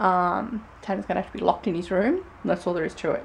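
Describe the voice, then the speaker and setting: A woman speaks at a fairly quick pace. Light background noise can be heard. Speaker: family vlogger. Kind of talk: casual vlog chat. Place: home room. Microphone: phone near.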